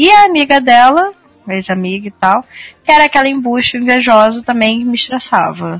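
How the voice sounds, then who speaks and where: A woman's fairly high voice with lively intonation at a moderate pace, dry and close with no echo, music playing in the background. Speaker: podcast co-host. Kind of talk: casual chat.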